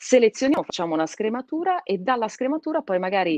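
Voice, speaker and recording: Recorded dry with no echo and a quiet background, a woman talks with lively intonation. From Piedmont, Italy (born in Calabria); Piedmont, Italy. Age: 30s. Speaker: radio host. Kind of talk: casual interview. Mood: warm, animated. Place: home room. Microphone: video call.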